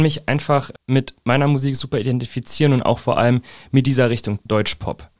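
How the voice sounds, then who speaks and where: A man speaks at a fairly quick pace. He has a normal speaking voice, fairly high in pitch. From central Hesse, Germany (Fernwald near Gießen). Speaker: singer-songwriter. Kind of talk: interview.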